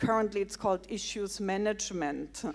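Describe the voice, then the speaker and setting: The woman's pitch rises and falls in a normal way as she talks. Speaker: public health researcher; audience member commenting. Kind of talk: audience question. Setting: stage with audience. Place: hall. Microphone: handheld.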